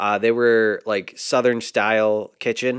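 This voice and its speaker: A man's medium-pitched voice, a normal speaking voice, at a moderate pace on a very clean recording with a silent background. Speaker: podcast co-host.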